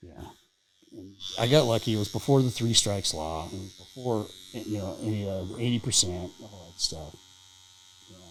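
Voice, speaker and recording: A man with a fairly low voice talks at a moderate pace, with ordinary pitch variation. His loudness swings widely, and he leaves long, frequent pauses. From Southern California. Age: 60s. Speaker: recovering addict, former prisoner. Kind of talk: casual interview, recovery story. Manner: halting, many fillers.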